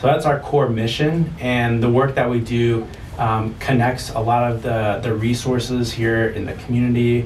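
A man talks at a moderate pace with hardly any pauses and fairly even intonation, with noticeable background noise and audible room echo. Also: medium pitch for a man. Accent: Midwestern American. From US Midwest, St. Louis. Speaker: nonprofit community support manager. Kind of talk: interview. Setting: studio. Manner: hesitant, many fillers.

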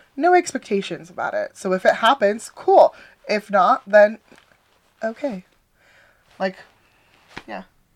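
The speech moves at a fairly slow pace with very wide pitch swings, big swings in loudness, and long, frequent pauses, in a dry, close sound with no echo. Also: woman, fairly high pitch for a woman. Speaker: podcast co-host. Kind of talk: casual chat.

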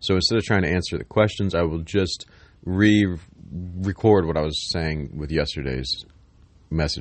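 Lively intonation runs through a man's very deep, low voice, which carries vocal fry. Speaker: spiritual content creator. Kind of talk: spiritual monologue. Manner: rambling.

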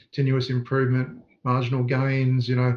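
A man with an Australian accent, medium pitch and a somewhat breathy voice at a moderate pace. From Australia, southeast Queensland. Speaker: sports coaching consultant. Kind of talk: interview.

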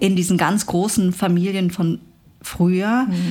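A woman speaks in an ordinary speaking voice at medium pitch, with fairly even intonation at a moderate pace. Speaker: journalist and author. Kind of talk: interview conversation.

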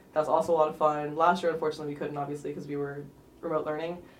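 Very fast and monotone, a woman speaks with flat intonation at a very deep, low pitch. Audible room echo surrounds her voice. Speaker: student club president. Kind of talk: interview.

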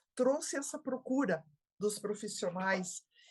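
Somewhat breathy and with lively intonation, a woman speaks at a fairly slow pace. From Brazil, interior of Santa Catarina. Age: 70s. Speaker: geriatrician. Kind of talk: interview.

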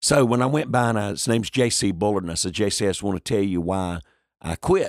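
An energetic voice in a North Carolina accent speaks at a moderate pace with vocal fry. The recording is very clean with a silent background and a dry, close sound with no echo. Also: man. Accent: US Southern, North Carolina. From North Carolina, Lumbee community. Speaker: pastor and evangelist. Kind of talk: interview. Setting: in person.

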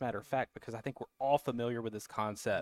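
A man talks with a Southern US accent. The sound is dry and close, with no echo. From US South. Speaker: cigar distributor guest.

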